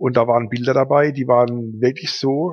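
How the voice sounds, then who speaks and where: The man's medium-pitched voice moves at a moderate pace, its pitch varying in an ordinary way. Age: 50s. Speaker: advertising agency owner and photographer. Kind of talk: casual interview. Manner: hesitant, many filler sounds.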